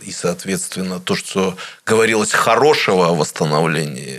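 With noticeable background noise behind him, a man talks in a very deep, low pitch. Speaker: radio interviewer. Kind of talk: interview. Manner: measured, deliberate.

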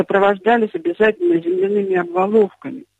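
Her medium-pitched voice swinging very widely, a woman speaks in a dry, close sound with no echo. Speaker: heritage preservation specialist. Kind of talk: radio interview. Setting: phone call.

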